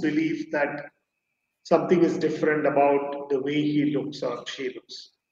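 Audible echo from the room is present. A man's words come at a fairly slow tempo. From India, Chennai; India. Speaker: psychiatrist; guest. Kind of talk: interview. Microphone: connection drops; video call.

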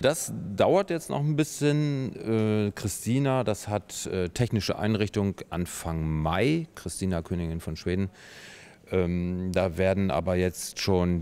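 Very slowly, a man speaks with a very deep, low pitch and a dark, mellow tone. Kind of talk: interview answer. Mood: calm, matter-of-fact. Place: workshop. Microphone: handheld.

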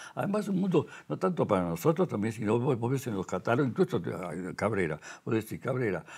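A man speaks in a Montevideo accent. His intonation is lively. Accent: Rioplatense Spanish (Montevideo). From Uruguay. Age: 90s. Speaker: sculptor; interviewee. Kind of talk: casual chat. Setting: artist's workshop. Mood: calm, reflective. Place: workshop. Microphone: lapel.

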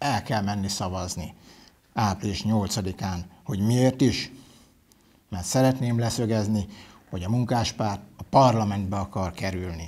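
A man talks at a fairly slow pace with fairly even intonation and a fairly low pitch. It is a plain, everyday voice. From Hungary, Hajdúnánás; Hungary. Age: 40s. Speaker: parliamentary candidate; candidate. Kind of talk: campaign speech. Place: studio. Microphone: lapel.

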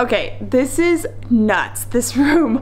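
A woman's voice carries audible room echo, with light background noise. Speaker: travel vlogger. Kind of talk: casual vlog chat. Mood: excited, amused. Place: home room. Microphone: phone near.

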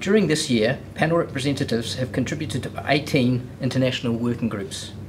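A man talks at a fairly quick pace and medium pitch, with ordinary pitch variation. Clear background noise is present.

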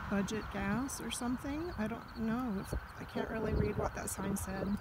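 Over loud background noise, a woman speaks at a fairly slow pace with ordinary pitch variation in a dry recording with no echo. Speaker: solo road-trip vlogger. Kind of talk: casual vlog chat. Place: open country. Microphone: phone near.

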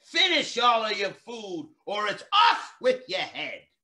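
In a put-on character voice, a man talks at a fairly slow pace, shrill and extremely high in pitch. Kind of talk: children's story reading. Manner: screeching.

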